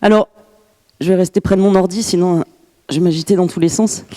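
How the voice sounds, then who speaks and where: A woman with a dark, mellow tone and medium pitch speaks with ordinary pitch variation, the sound dry and close with no echo. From France, Grenoble. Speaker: glaciologist and university professor. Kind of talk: lecture. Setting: conference room with audience. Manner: hesitant, many fillers.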